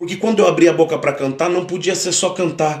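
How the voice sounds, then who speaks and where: A man's voice, high in pitch. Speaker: pastor and worship musician. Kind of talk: testimony. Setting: podcast live stream. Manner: conversational.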